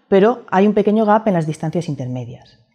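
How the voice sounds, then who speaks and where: Over a quiet background, a woman's dark, mellow tone carries lively intonation. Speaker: university lecturer. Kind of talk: lecture. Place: studio. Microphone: lapel.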